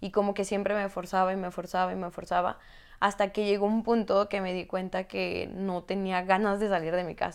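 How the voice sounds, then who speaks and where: In a very clean recording with a silent background, a woman of medium pitch speaks at a moderate pace in a monotone, flat intonation. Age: 20s. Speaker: life coach and kinesiologist. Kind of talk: personal testimony in interview.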